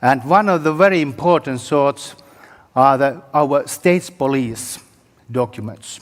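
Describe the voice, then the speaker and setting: A fairly slow pace with a Finnish accent. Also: man, fairly high pitch for a man, ordinary pitch variation. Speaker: historian. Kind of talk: conference presentation. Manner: halting.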